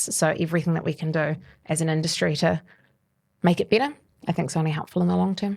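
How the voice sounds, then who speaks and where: Speaking very fast with a New Zealand accent, a woman leaves long, frequent pauses. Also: fairly low pitch for a woman. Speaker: mortgage adviser. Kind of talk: casual interview chat. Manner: articulate.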